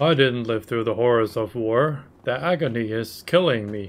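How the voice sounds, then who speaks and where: Medium pitch and moderate pace in a man's put-on character voice. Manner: mock-dramatic, agonized.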